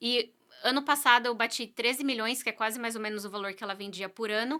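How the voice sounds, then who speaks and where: In a very clean recording with a silent background, a woman with a fairly high pitch talks at a fairly quick pace with fairly even intonation. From Brazil. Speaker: real estate agent. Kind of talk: podcast interview.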